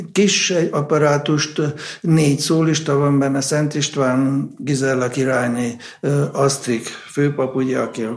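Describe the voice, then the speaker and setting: Through audible room echo and noticeable background noise, a man with a medium pitch talks at a moderate pace with fairly even intonation. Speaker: conductor of a baroque ensemble. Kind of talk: interview.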